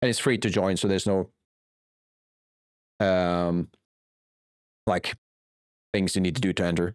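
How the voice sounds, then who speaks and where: A man with a non-native accent speaks in a very deep, low voice at a moderate pace, with fairly even intonation, very even loudness and long, frequent pauses. The sound is dry and close with no echo, on a very clean recording with a silent background. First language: not English. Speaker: game developer and streamer. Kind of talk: live stream chat while 3D modelling. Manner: hesitant, searching for words.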